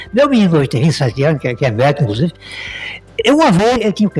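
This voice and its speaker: A man speaks with music in the background. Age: 60s. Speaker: businessman and radio owner. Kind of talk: podcast interview conversation. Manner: repetitive, halting.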